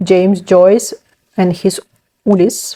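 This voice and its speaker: A woman with a Ukrainian accent speaks at a fairly slow pace, her medium-pitched voice dark and mellow in tone. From Ukraine. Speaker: book vlogger. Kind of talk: casual vlog, book haul. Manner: hesitant, many fillers.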